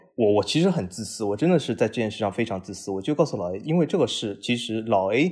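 Heard on a very clean recording with a silent background, a normal speaking voice carries lively intonation. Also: man. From Shanghai. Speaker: football podcast host. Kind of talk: casual interview.

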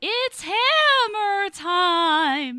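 This is a put-on character voice at an extremely high pitch. Its pitch swings very widely. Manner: spooky, theatrical.

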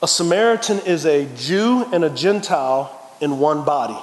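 A man with an American accent, fairly high in pitch, with ordinary pitch variation, plus noticeable background noise and audible room echo. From Texas, San Antonio. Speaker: pastor. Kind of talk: sermon. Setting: church. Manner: animated.

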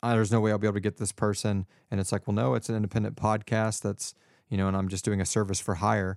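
A man speaks at a very fast pace in a fairly low pitch. The recording is very clean, with a silent background. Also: dry, close sound with no echo. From Texas, Houston area. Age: 30s. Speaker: voice actor and podcaster. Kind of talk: casual chat.

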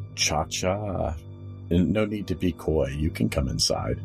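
A man performs a put-on character voice, resonant and at a fairly slow pace. Clear music plays in the background. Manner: smooth, inviting, slightly menacing.

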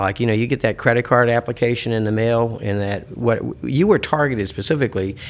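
Using an ordinary speaking voice, a man talks at a medium pitch and fairly quick pace with ordinary pitch variation. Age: 50s. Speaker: ad tech executive. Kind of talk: casual chat. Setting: studio.

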